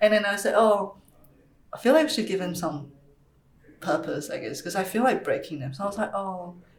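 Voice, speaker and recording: Amid noticeable background noise and audible room echo, a woman speaks fairly quickly at a medium pitch with lively intonation. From Taiwan, moved to Australia as a child. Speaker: ceramic artist. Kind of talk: casual chat. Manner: hesitant, many fillers.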